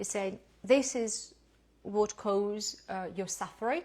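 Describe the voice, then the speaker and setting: The speaker is a woman with a fairly high voice. She talks with a non-native accent. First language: not English. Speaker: lifestyle educator. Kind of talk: lecture. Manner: halting.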